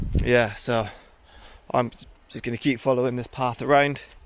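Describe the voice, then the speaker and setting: Keeping a monotone, flat intonation, a man talks at a moderate pace in a medium pitch. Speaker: travel vlogger. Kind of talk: travel vlog narration. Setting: outdoors in a forest and on a beach.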